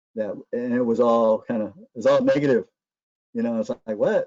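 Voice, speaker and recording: A man in an American accent talks at a moderate pace, his medium pitch carried with fairly even intonation. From Northern California. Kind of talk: webinar presentation. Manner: halting, many fillers and repetitions.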